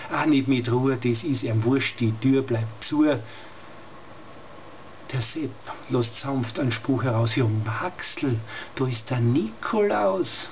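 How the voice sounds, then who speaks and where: At a very slow pace and with long, frequent pauses, a man with medium pitch speaks in a Styrian accent over light background noise. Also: ordinary pitch variation. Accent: Styrian Austrian German dialect. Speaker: dialect poet. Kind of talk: dialect poetry reading. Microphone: webcam.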